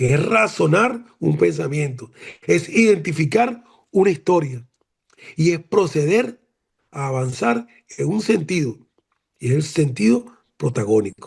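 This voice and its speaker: A man with a fairly high, somewhat breathy voice talks at a fairly slow pace with very wide pitch swings. He takes long, frequent pauses. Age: 70s. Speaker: retired admiral, former defense minister. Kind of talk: academic seminar remarks. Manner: animated.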